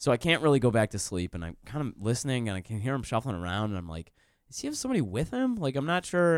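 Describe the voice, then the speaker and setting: With a Michigan accent, a man races along very fast at a medium pitch, swinging very widely in pitch, on a very clean recording with a silent background. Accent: Midwestern American (Michigan). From Detroit area, Michigan. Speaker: comedian and writer. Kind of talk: casual chat. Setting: studio.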